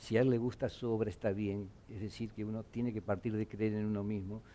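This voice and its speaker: With a dark, mellow tone, a man speaks at a fairly low pitch. His pace is fairly quick. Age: 70s. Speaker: discussion panelist. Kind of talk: group discussion.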